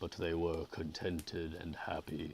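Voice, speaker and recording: A put-on character voice from a man, guttural and very deep in pitch. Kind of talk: literary, reading aloud. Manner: sleepy, drowsy.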